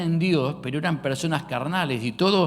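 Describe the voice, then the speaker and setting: With a Rosario accent, a man talks in a fairly high pitch with ordinary variation, and audible room echo surrounds him. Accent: Rosario Argentine. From Argentina, Rosario. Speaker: pastor. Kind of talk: sermon. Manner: hesitant, many fillers.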